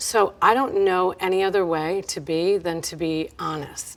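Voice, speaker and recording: In a very clean recording with a silent background, a woman with a New York accent speaks at a fairly low pitch with fairly even intonation. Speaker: business owner and consultant. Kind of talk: interview answers. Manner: direct, loud-seeming.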